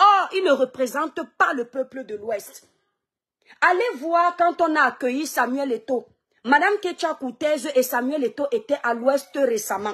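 A high-pitched woman with lively intonation, speaking at a fairly slow pace against a quiet background. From Cameroon, Kribi/Douala; Cameroon. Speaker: social media live streamer and online seller; social commentator. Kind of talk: live stream monologue. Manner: animated. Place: home room. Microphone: phone near.

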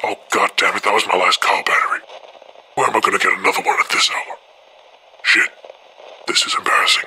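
A man uses a put-on character voice at an extremely high pitch. He speaks very fast yet leaves long, frequent pauses. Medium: dub. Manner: frustrated, exasperated.

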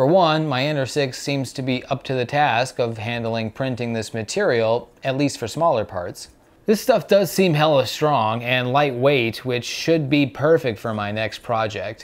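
Speaking rather slowly, a man lets his pitch rise and fall in an ordinary way. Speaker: maker reviewing 3D printing material. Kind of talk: tutorial. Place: home room.

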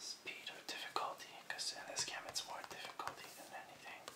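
A man whispers his words at a moderate pace. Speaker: ASMR creator. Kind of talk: ASMR whispered video game collection showcase to camera. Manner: whispered, soft-spoken.

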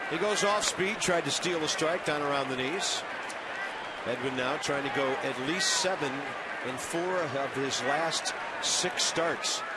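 Someone with an American accent speaks at a fairly slow pace, the sound dry with no echo over loud background noise. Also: man. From US Midwest. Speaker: play-by-play announcer. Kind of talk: live baseball play-by-play commentary. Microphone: headset.

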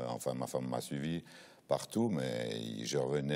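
A man talks at a fairly slow pace with ordinary pitch variation. His pitch is very deep and low. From Switzerland, Neuchâtel; Switzerland. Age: 60s. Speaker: football coach. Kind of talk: TV interview. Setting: studio. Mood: relaxed, reminiscing. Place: studio. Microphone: lapel.

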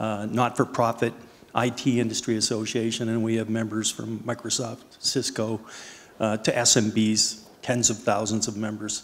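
Monotone, flat delivery at a moderate pace. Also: man. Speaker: panelist. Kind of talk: panel introduction talk. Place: stage. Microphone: handheld.

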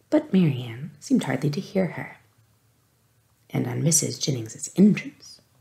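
Someone soft-spoken talks at a fairly slow pace. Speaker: audiobook reader. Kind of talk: read-aloud narration of a novel. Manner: soft-spoken, hushed ASMR reading voice.

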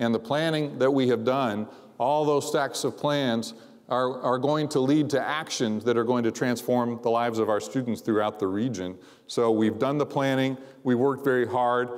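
Against a quiet background, a man speaks at a moderate pace with fairly even intonation and very even loudness. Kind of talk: convocation speech. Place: hall. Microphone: lapel.

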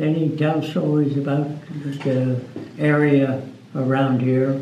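Over light background noise and audible room echo, a man with a fairly high voice speaks at a very slow pace in a monotone, flat intonation. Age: 80s+. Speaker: muzzleloading rifle shooter. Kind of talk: interview answer. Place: hall.

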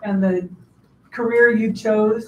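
A woman's somewhat breathy, monotone voice with audible room echo and light background noise. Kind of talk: formal address to audience. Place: meeting room.

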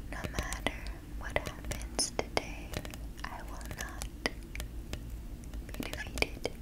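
Soft-spoken and gentle in tone, a woman whispers. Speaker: affirmation video creator. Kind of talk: soft spoken affirmations. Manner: soft gentle whisper, slow. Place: home room.

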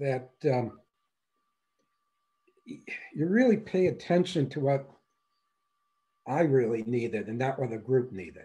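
A man with an American accent, a dark, mellow tone, lively intonation and a very slow pace. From Wisconsin. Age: 60s. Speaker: semi-retired coaching client. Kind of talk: testimonial interview answer. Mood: pleased, relaxed. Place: home room. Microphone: video call.

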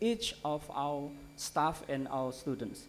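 A man talks very slowly while light background noise sits behind him. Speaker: conference keynote speaker. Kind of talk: lecture. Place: hall. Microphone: podium.

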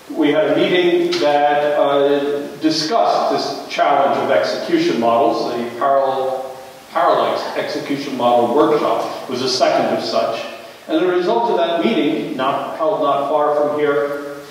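Strong room echo surrounds a man speaking at a fairly slow pace, with light background noise. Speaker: invited lecturer. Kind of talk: lecture. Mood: warm, wry humor. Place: hall.

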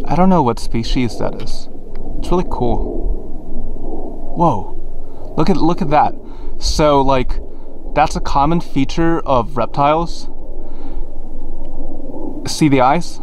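Over light background noise, a man speaks at a very slow pace with long, frequent pauses, the sound dry with no echo. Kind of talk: casual vlog chat. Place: open country. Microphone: phone near.

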